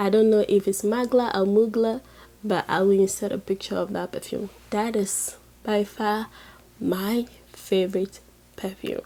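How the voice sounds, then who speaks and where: A woman's dark, mellow voice at medium pitch, flat and monotone, fairly slow, with long, frequent pauses. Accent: Ghanaian. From Ghana, Volta region. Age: 20s. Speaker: beauty and lifestyle youtuber. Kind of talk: casual vlog Q&A. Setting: in bed, late at night.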